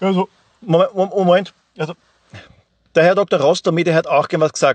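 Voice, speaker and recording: A man speaks at a fairly slow pace in an Austrian accent, his pitch high. The sound is dry and close with no echo. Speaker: podcaster and listener. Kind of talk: voice message.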